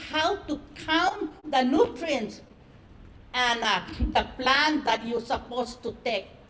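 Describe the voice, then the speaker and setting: A woman speaks at a very slow pace in a high voice. Her pitch varies in an ordinary way. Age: 70s. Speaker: author and traditional healer. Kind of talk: speech at a book launch.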